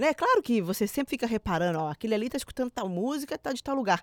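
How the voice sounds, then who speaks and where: A woman speaks in a normal speaking voice, fairly high in pitch, with lively intonation. The recording is very clean with a silent background, and the sound is dry and close with no echo. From Minas Gerais, Brazil. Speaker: podcast host. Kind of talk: casual chat. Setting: studio.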